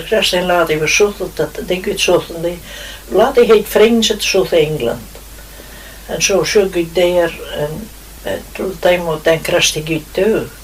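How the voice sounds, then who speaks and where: Over noticeable background noise, a woman speaks at a moderate pace with a Shetland accent, her pitch fairly low and her pitch variation ordinary. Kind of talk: interview answer.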